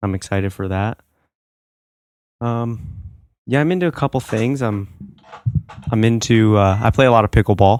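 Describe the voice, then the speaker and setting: Recorded dry and close with no echo, a man of medium pitch speaks with ordinary pitch variation and long, frequent pauses. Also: moderate pace. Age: 20s. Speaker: college student, summer intern. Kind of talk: casual interview.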